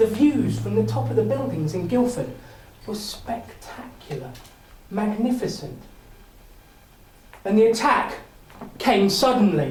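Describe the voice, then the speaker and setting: Noticeable background noise runs beneath a man speaking at a fairly slow pace. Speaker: public speaker. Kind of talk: contest speech, dramatic storytelling. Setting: live audience, speakers club. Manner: energetic, charismatic.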